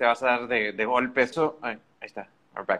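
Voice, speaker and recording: This is an ordinary speaking voice, belonging to a man. He keeps a moderate pace with ordinary pitch variation. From Mexico, Monterrey. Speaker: podcast host. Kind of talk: casual interview on a live stream.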